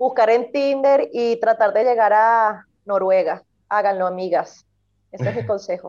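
A fairly high-pitched woman with a Venezuelan accent, at a fairly slow pace with ordinary pitch variation. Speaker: podcast co-host. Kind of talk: casual chat.

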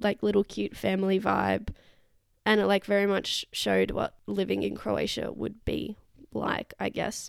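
A woman with an Australian accent. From Perth, Western Australia. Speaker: travel podcaster. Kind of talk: casual solo monologue. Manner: rambling, casual.

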